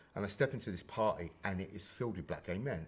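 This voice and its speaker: A somewhat breathy man with a London accent and ordinary pitch variation. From Brixton, London. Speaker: HIV and queer activist. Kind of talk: podcast interview answer.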